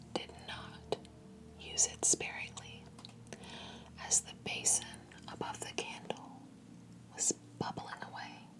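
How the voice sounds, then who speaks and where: A woman whispering at a very slow pace, with long, frequent pauses. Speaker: ASMR creator and fragrance reviewer; ASMR storyteller. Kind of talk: second-person ASMR storytelling narration. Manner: slow, hushed, soothing. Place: home room. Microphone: studio mic.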